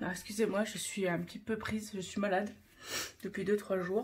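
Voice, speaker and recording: Against noticeable background noise, a woman talks at a moderate pace and medium pitch. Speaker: craft YouTuber. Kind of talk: casual tutorial vlog. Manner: halting, many fillers.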